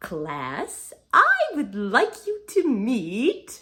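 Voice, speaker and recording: Putting on a character voice, a woman speaks high, her pitch swinging very widely. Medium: read story. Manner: brisk, gushing.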